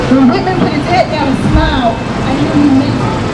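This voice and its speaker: Music plays in the background as a woman talks at a moderate pace. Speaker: speaker. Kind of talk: rally speech. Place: street. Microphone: camera far.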